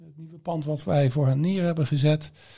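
Somewhat breathy and dark, mellow in tone, a man speaks on a very clean recording with a silent background. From Netherlands, Eindhoven region. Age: 50s. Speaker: campus managing director. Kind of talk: interview. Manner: halting.

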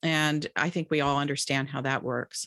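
A woman talks at a moderate pace, the sound dry and close with no echo. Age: 60s. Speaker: author and religion scholar. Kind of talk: interview. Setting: online conversation.

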